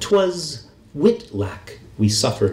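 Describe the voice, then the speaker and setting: With an American accent, the speaker goes very slowly as noticeable background noise continues. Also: man. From US Pacific Northwest, Seattle. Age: 50s. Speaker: poet. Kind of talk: poetry reading. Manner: halting.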